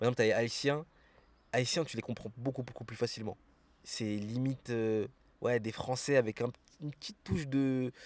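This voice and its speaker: At a moderate pace with long, frequent pauses, a man speaks in a medium pitch with fairly even intonation and big swings in loudness. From France. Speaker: expatriate sharing experience. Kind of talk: casual interview. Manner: casual, hesitant with many fillers.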